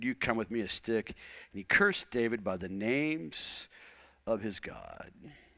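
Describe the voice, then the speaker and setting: A man's fairly low voice with a bright, sharp tone and ordinary pitch variation, at a moderate pace, in a very clean recording with a silent background. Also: big swings in loudness. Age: 50s. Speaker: pastor. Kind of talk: sermon.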